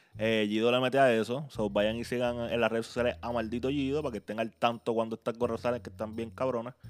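Almost without pausing, a man with a Puerto Rican accent rattles off words at a very fast pace in a medium pitch, his intonation monotone and flat. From Puerto Rico, Carolina. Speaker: podcast host. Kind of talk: podcast intro and outro; casual interview chat.

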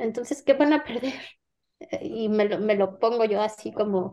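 Woman in a Mexican accent, fairly high-pitched with a dark, mellow tone and ordinary pitch variation, at a fairly slow pace with long, frequent pauses. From Mexico. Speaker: novelist. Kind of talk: interview.

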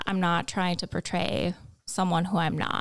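A woman's fairly low voice with vocal fry and an American accent. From US Midwest, North Dakota (Kindred, near Fargo). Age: 20s. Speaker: college student. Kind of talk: casual chat.

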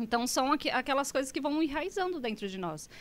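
A woman's voice with very wide pitch swings. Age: 40s. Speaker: psychologist. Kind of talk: podcast interview.

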